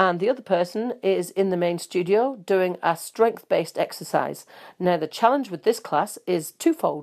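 With a New Zealand accent, the speaker keeps a moderate pace and ordinary pitch variation. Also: woman, medium pitch for a woman, very clean recording, silent background. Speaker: fitness studio host and instructor. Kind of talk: podcast presenting health and fitness news and advice.

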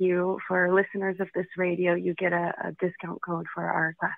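A woman with a plain, everyday voice, medium in pitch, at a fairly slow pace. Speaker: piano teacher for children.

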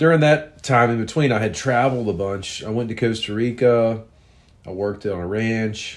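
A man's plain, everyday voice, medium in pitch with ordinary pitch variation, at a moderate pace. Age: 40s. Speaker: podcaster telling personal stories. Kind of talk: storytelling monologue. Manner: casual, rambling with fillers.

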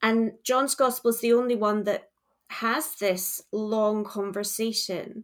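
At a very slow pace, a woman with a Scottish accent speaks at a fairly high pitch with fairly even intonation. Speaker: charity worker. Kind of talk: casual chat.

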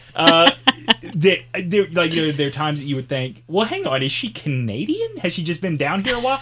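Here is a man with a Southern US accent and a high pitch. Noticeable background noise is present. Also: lively intonation, fairly quick pace. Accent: Southern US, mild. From US South. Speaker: podcast host and former radio host. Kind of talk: casual interview chat. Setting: studio.

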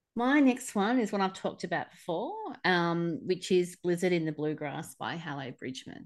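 Against a quiet background, a woman with an Australian accent speaks at a medium pitch with very wide pitch swings. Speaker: podcast co-host. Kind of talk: casual chat.

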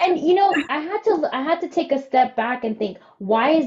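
A woman talks at a moderate pace with very wide pitch swings. Noticeable background noise sits behind her. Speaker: podcast co-host. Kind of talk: casual chat, interview. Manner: excited, animated.

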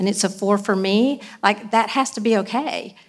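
A woman speaks in an unremarkable speaking voice, fairly high in pitch. Her intonation stays fairly even at a moderate pace. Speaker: church member panelist. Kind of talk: panel discussion.

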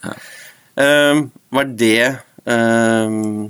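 A man with an unremarkable speaking voice, medium pitch and ordinary pitch variation. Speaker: football podcast host. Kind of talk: interview. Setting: studio.

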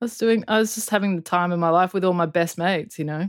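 With an Australian accent, a woman speaks at a medium pitch with ordinary pitch variation, the sound dry and close with no echo. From Perth, Western Australia (UK until age eight). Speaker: audio engineer and producer. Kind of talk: casual interview chat. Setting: remote call.

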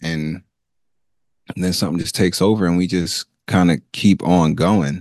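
At a moderate pace, a man with a very deep, low voice talks with fairly even intonation and long, frequent pauses, the sound dry and close with no echo. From Nigeria. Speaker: co-host and teacher. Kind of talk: casual chat.

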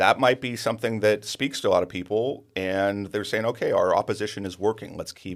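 With an American accent, a man talks at a moderate pace, his loudness swinging widely. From Sonoma County, Northern California. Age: 30s. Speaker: housing developer. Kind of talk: interview. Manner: halting, many fillers.

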